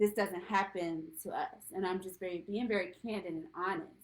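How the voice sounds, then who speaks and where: A moderate pace and fairly even intonation in a normal speaking voice with an American accent. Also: woman. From Virginia, Richmond. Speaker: domestic violence survivor and speaker. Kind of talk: interview.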